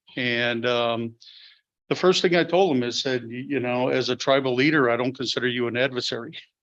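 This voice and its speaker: A man speaks with a northern Wisconsin accent at a fairly quick pace. His pitch is medium, with ordinary variation. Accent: Upper Midwest (northern Wisconsin). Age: old. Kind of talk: formal welcome address. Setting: public board meeting. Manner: loud; halting, many fillers.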